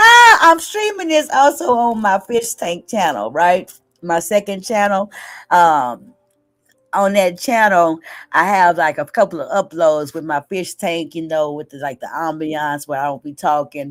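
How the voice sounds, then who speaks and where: Over music in the background, a woman with a fairly low pitch speaks at a fairly slow pace with lively intonation and big swings in loudness. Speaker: livestream host. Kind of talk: casual chat.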